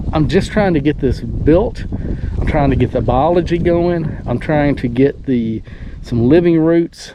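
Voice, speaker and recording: With a Southern US accent, the speaker keeps a moderate pace and ordinary pitch variation over noticeable background noise. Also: man. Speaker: homesteader. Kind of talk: casual vlog narration. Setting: outdoors.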